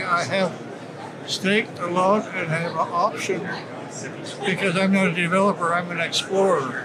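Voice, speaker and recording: Over noticeable background noise and audible room echo, a man with a high pitch talks at a moderate pace with fairly even intonation. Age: 90s. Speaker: prospector. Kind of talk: interview. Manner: halting.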